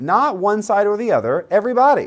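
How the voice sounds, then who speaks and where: A man talks in an animated tone. His pitch swings very widely. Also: very clean recording, silent background. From US South, Central Florida. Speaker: priest leading Bible study. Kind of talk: Bible study teaching. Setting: livestream video.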